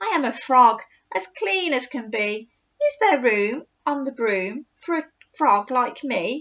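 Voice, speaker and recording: A woman puts on a croaky character voice, high in pitch and fairly slow in pace. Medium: read story.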